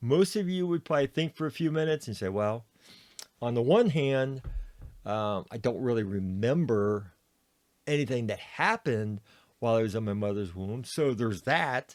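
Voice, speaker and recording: Lively intonation marks a man's medium-pitched voice at a moderate pace. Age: 60s. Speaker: podcast host sharing his cancer journey. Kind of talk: personal reflective monologue. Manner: hesitant with many fillers.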